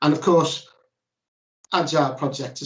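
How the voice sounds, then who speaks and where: Over a quiet background, a man with a Liverpool accent talks very fast with fairly even intonation. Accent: Liverpool (Scouse), noticeable. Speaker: ERP consultant presenting at a workshop; webinar presenter. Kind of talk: presentation. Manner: hesitant with fillers and restarts. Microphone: video call.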